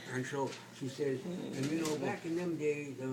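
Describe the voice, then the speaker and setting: Someone with an American accent talks at a moderate pace. Audible room echo and noticeable background noise fill the recording. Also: man. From California, San Jose area. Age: 80s+. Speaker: retired veteran storyteller. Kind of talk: casual chat. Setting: doctor's waiting room. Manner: halting, many repeated words.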